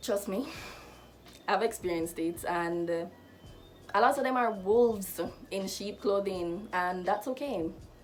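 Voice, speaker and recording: Music in the background behind a woman at medium pitch, fairly slow, with ordinary pitch variation and long, frequent pauses. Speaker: lifestyle vlogger. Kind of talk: casual advice vlog.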